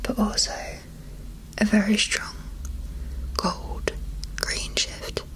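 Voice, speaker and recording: A soft-spoken woman whispers at a very slow pace. Noticeable background noise sits behind her. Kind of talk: ASMR makeup unboxing, talking the viewer through products. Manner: soft-spoken, whispered.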